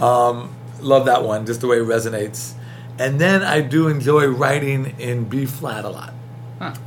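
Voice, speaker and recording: Noticeable background noise sits behind this recording. A man speaks with fairly even intonation. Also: medium pitch for a man. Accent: strong New York. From New York City (Queens). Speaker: film composer and professor. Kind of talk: interview. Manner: fast talker.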